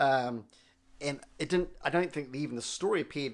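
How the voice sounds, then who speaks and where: Words tumble out at a very fast pace. An American accent colors the speech. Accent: Kiwi American. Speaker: coffee podcast co-host. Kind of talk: casual chat.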